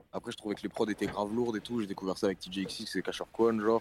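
The recording has a dry, close sound with no echo as a man speaks at a fairly quick pace in a medium pitch with a normal speaking voice. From northern France, Lille. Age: 20s. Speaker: rapper. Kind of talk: interview. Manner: casual.

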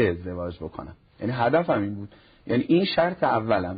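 A man talks at a fairly quick pace with lively intonation. His voice is somewhat breathy. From Iran, Nishapur (Khorasan Razavi). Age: 40s. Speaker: cleric and family counselor. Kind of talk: TV talk show interview.

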